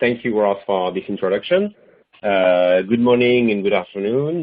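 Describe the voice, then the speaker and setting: This man talks at a fairly low pitch with a French accent. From France. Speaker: product manager. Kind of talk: webinar presentation. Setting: online webinar.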